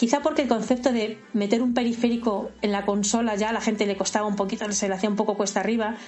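Over music in the background, a woman talks at a very fast pace in a fairly high voice, with fairly even intonation and hardly any pauses. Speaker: freelance video game journalist. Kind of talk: interview. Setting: video call.

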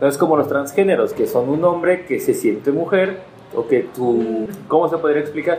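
Over noticeable background noise, a man with a high voice speaks at a moderate pace, his pitch varying in an ordinary way and his loudness very even. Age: 30s. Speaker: podcast co-host. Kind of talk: casual chat.

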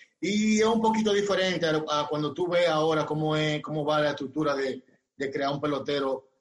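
This man's fairly high, somewhat breathy voice moves at a moderate pace with ordinary pitch variation. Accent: Dominican. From Dominican Republic, Barahona. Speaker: former pro baseball player. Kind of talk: interview. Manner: halting.

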